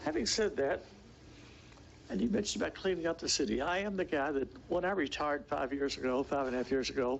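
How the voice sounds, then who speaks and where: Talking at a very fast pace, a man with a fairly high pitch keeps his loudness very even while his intonation stays lively. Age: 80s+. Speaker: resident speaking at public comment. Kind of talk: public comment at city meeting. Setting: city commission meeting.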